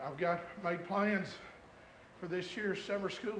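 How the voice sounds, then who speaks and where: A man with an American accent talks in a high pitch, with fairly even intonation. His moderate pace is heard with audible room echo. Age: 50s. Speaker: pastor. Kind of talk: sermon. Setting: church.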